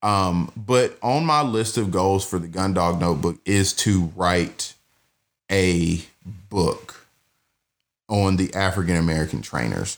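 The speaker talks at a fairly slow pace in a Southern US accent. Long pauses come often. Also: man, very deep, low pitch for a man, ordinary pitch variation. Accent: Southern US (Georgia). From US South (Georgia, Douglasville near Atlanta). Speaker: podcast host and bird dog trainer. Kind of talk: casual monologue. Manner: casual, many filler words.

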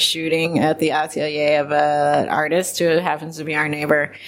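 With noticeable background noise, a woman with an American accent speaks at a moderate pace in a very deep, low, monotone, flat voice. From Ohio, US Midwest (Columbus). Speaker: intellectual property attorney. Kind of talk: casual interview.

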